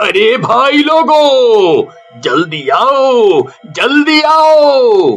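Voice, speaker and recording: Over faint music in the background, someone performs in a put-on character voice. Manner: shouting, calling people over.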